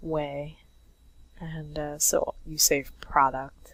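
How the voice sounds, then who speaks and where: A woman speaks in a husky voice. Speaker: comic artist. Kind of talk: casual drawing commentary.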